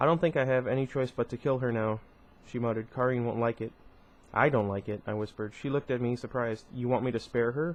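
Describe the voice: This is plain reading aloud, delivered with fairly even intonation.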